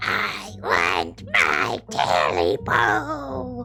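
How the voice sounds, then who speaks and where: Clear music plays in the background as a man growls in a put-on character voice at a fairly low pitch. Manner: growling.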